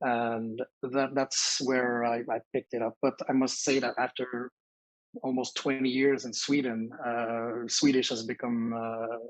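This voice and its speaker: With a Quebec French accent, a man speaks at medium pitch and a fairly slow pace. His intonation is monotone and flat, and the sound is dry and close with no echo. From Quebec (Sherbrooke). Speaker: educator. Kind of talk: casual interview chat. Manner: halting.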